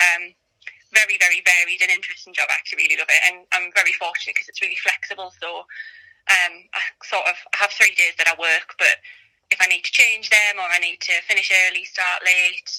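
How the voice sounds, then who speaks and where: With a North East England accent, a woman talks at a fairly quick pace. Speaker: mother sharing birth story. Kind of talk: casual interview.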